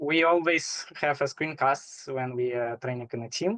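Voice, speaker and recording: The speaker has a non-native accent and talks at a moderate pace with ordinary pitch variation. The sound is dry and close, with no echo. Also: man. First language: not English. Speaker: competitive programmer. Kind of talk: casual interview. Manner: halting.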